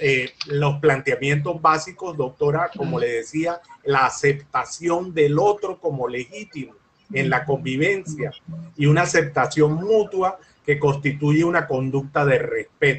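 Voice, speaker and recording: Somewhat breathy, a man speaks at a fairly high pitch. His pace is fairly slow, with ordinary pitch variation. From Colombia. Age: 60s. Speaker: lawyer and mediator. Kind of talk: interview.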